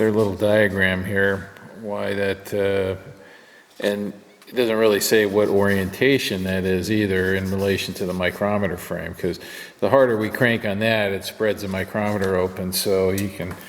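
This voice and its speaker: A man mumbles at a moderate pace. His pitch is fairly low and his intonation monotone and flat. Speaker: machinist tool reviewer. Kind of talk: workshop tutorial. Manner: mumbling; halting.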